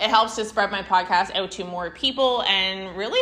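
The woman's tone is animated. Behind her, background noise is noticeable. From Canada. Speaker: podcast host. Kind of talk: casual interview; podcast intro and outro monologue.

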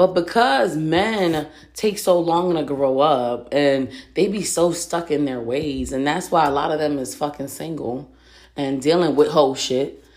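In a room with audible echo, a woman with an American accent talks at a fairly slow pace in a very deep, low pitch, with ordinary pitch variation. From Reading, Pennsylvania. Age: 30s. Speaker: podcast host. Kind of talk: casual solo monologue.

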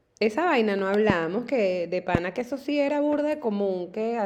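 Over noticeable background noise, a woman with a fairly high pitch talks at a moderate pace, her pitch swinging very widely. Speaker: podcast co-host. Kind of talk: casual chat.

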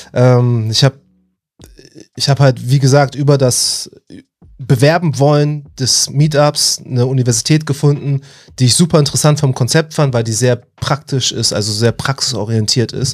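A man speaks at medium pitch and a moderate pace. His intonation is fairly even, and his voice is somewhat breathy. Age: 30s. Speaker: software engineering student and IT trainer. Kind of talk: casual interview. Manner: halting, many fillers.

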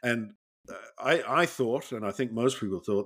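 A very clean recording with a silent background, moderate pace and ordinary pitch variation. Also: man. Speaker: podcast co-host. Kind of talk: casual chat, retrospective game commentary. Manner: chatty, hesitant, laughing, informal.

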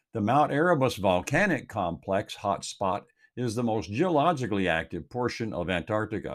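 A man in a Texan accent at medium pitch and a moderate pace. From Texas Gulf Coast. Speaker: commentator. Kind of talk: reading aloud.

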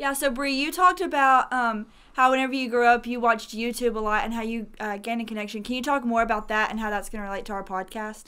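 Talking very fast with hardly any pauses, a woman with a Southern US accent uses a bright, sharp tone at a fairly high pitch with ordinary pitch variation. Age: young. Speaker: podcast co-host, college student. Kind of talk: casual faith podcast chat.

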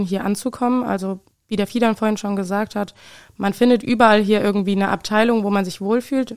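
Speaking at a fairly quick pace, a woman uses fairly even intonation at a medium pitch in an unremarkable speaking voice. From Obertshausen, Hesse. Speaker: trainee industrial clerk. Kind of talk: interview. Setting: studio.

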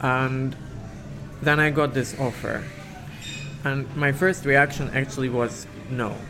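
Delivered at a fairly slow pace with long, frequent pauses, the speech has a monotone, flat intonation over noticeable background noise. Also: man, medium pitch for a man. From Siberia, Russia. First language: Russian. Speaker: concert pianist. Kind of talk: interview. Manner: halting.

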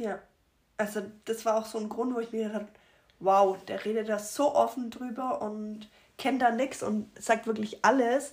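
A woman talks with long, frequent pauses. Her intonation stays monotone and flat. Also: fairly high pitch for a woman, moderate pace. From Germany, Rothenburg. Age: 20s. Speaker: accident survivor. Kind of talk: testimony. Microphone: poor sound.

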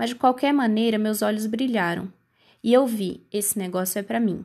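A woman speaks at a moderate pace with a fairly high, somewhat breathy voice and ordinary pitch variation. The recording is very clean, with a silent background. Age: 20s. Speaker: podcast host, medical student. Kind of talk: scripted narration.

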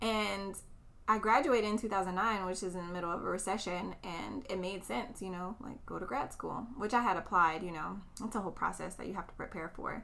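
A woman with an American accent talks at a fairly quick pace in a medium pitch with ordinary pitch variation, and the room echo is audible. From US West Coast, East Oakland, California. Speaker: educator with a doctorate. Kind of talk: casual chat. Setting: recorded in person at host's house.

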